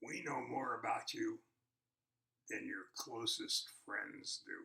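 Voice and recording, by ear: A man's raspy, gruff, put-on character voice, pitched extremely high and moving at a very slow pace.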